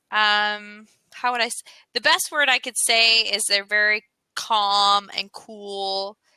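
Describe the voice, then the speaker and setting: A woman with a Southern US accent, a bright, sharp tone, fairly even intonation, and a very slow pace, in dry, close sound with no echo. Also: fairly high pitch for a woman. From US South. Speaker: English tutor. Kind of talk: casual chat.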